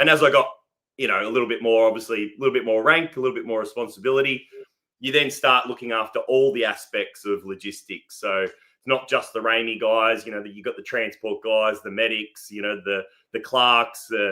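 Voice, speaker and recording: With an Australian accent, a man at medium pitch talks at a fairly quick pace, showing ordinary pitch variation and big swings in loudness. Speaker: army veteran. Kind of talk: casual interview.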